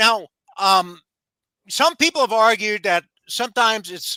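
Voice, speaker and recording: A man's raised, projected voice, high for a man, bright and sharp in tone, with an American accent, ordinary pitch variation and a dry, close sound with no echo. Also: very clean recording, silent background. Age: 60s. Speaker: lawyer and author. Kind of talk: interview. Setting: live stream. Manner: halting.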